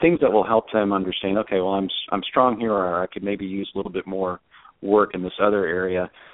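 A man talks at a fairly quick pace with a fairly low pitch. He has a normal speaking voice and fairly even intonation. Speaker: finance executive. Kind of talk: casual interview.

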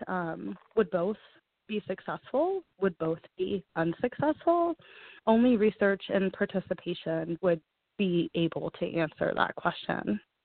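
A woman with an American accent and a plain, everyday voice, medium in pitch, with ordinary pitch variation and a fairly slow pace. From Texas, Houston. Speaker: patient advocate. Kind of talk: interview.

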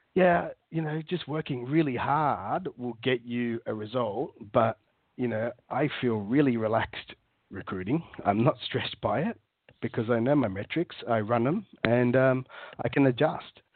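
A man speaks with an Australian accent. His pitch is medium and his pace fairly slow. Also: ordinary pitch variation. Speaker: recruiter. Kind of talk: casual interview chat. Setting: phone call.

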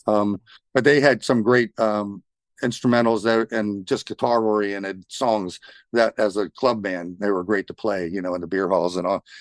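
A man speaks in an unremarkable speaking voice at a fairly low pitch, keeping a moderate pace and fairly even intonation. The sound is dry and close with no echo, over a quiet background. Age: 60s. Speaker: guitarist. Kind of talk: casual interview.

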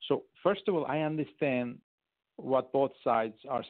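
A man speaks at a moderate pace with a Turkish accent. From Turkey. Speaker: foreign policy adviser. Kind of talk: radio interview.

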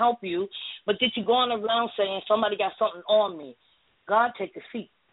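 A woman's voice at a medium pitch and a moderate pace, an ordinary speaking voice with ordinary pitch variation. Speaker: caller, spiritual practitioner. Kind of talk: advice-giving. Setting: phone call.

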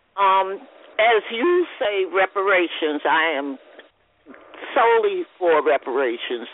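A woman with an American accent speaks at a very slow pace and a medium pitch, with very wide pitch swings and long, frequent pauses. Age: 70s. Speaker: community radio host. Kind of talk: radio talk show. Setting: phone call.

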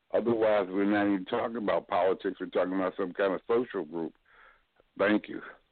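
This man has an unremarkable speaking voice, fairly low in pitch. He talks at a fairly quick pace with fairly even intonation. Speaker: political panelist. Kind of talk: panel discussion.

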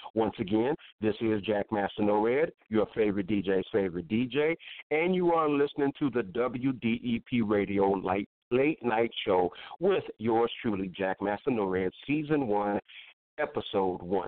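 An unremarkable speaking voice from a man, fairly slow in pace, with lively intonation and very even loudness. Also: fairly low pitch for a man. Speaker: radio DJ host. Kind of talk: internet radio DJ patter, live show intro and outro with song announcements. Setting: online radio show with chat room and call-ins. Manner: upbeat, catchy and casual, with signature catchphrases; fairly slow, with fillers like uh and um.

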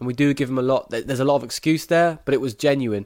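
In an English accent, a man talks at a very fast pace with a fairly high pitch and fairly even intonation. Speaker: sports podcast host. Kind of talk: interview.

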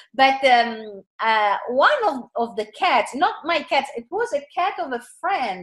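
Speaking with an Italian accent, a woman has a high pitch and very wide pitch swings. Her pace is very slow, with hardly any pauses. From Italy, seaside. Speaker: author, artist and channeler. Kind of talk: interview. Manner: halting, repeating words.

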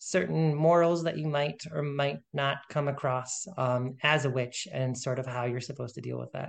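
With a normal speaking voice, a man speaks at a moderate pace, fairly high in pitch, with ordinary pitch variation. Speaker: author, podcast guest.

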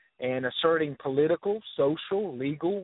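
Here a man speaks with a Southern US accent. His pitch is fairly high, with ordinary variation. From US South, North Florida. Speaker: author and historian. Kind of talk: interview.

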